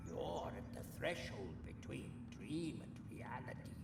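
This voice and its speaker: Whispering in a put-on character voice, a man speaks at a fairly slow pace over loud background noise. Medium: machinima. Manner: chatty, wry.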